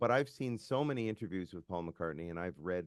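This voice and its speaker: A man with a Canadian accent, a very deep, low pitch, a fairly quick pace and lively intonation, in a dry, close sound with no echo. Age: 60s. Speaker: musician. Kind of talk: casual chat.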